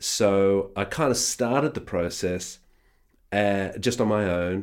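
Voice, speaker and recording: A man with an Australian accent, very deep and low in pitch, ordinary pitch variation, on a very clean recording with a silent background. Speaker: re-recording mixer. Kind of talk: casual interview. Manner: hesitant, filler-heavy.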